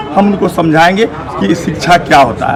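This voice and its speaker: A man's speech carries lively intonation while noticeable noise runs in the background. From India, Bihar (Darbhanga). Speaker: medical practitioner. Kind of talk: street interview.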